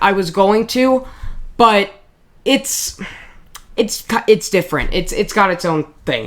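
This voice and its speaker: In a put-on character voice, the speaker sounds raspy and goes at a fairly slow pace, with long, frequent pauses. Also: woman, medium pitch for a woman. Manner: stuttering.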